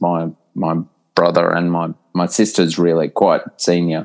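With an Australian accent, a man speaks in a very deep, low voice at a fairly slow pace. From Australia (New South Wales small town, then Brisbane). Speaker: professor. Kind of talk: casual interview chat.

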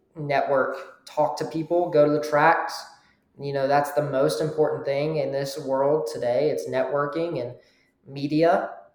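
With an American accent, a man speaks at a fairly slow pace and a fairly high pitch in monotone, flat intonation, with audible room echo. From US South. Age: young. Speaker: amateur racing driver. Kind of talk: interview.

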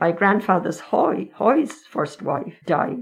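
Speaking with an Irish accent at a moderate pace, a woman keeps a medium pitch yet swings very widely in it. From Ireland, County Meath. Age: 80s+. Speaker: retired nanny. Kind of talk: interview. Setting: in person, masked.

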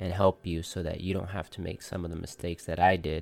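On a very clean recording with a silent background, a man speaks in a very deep, low pitch. His intonation is monotone and flat. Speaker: podcast host, tattoo artist. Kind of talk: solo monologue podcast. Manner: hesitant, with filler words.

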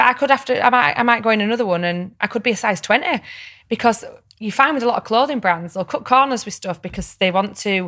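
Bright, sharp tone in a Yorkshire accent, with lively intonation at a fairly quick pace. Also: woman. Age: 30s. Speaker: reality TV personality and podcaster. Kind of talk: casual chat.

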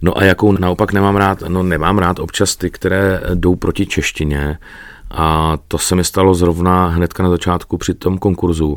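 Very deep and low in pitch, a man talks at a moderate tempo with fairly even intonation. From Czech Republic, Náchod. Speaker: radio presenter and voice-over artist. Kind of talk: interview.

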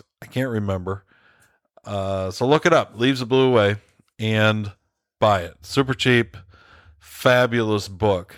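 In a very clean recording with a silent background, a man talks at a fairly slow pace with long, frequent pauses, a fairly low pitch and ordinary pitch variation. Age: 40s. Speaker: podcast host. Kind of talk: casual monologue. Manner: halting.

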